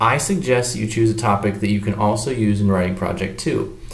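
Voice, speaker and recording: Amid noticeable background noise and audible room echo, a man talks at a fairly low pitch with ordinary pitch variation. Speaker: teacher. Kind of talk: lecture. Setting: hotel business office. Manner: quiet.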